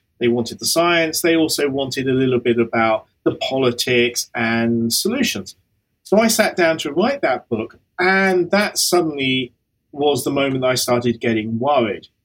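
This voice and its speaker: With a plain, everyday voice, a man speaks at a moderate pace, his fairly high pitch carried by lively intonation. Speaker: professor of earth system science.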